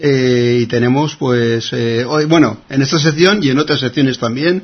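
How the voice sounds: Medium in pitch with a slightly husky edge, a man speaks at a moderate pace with ordinary pitch variation.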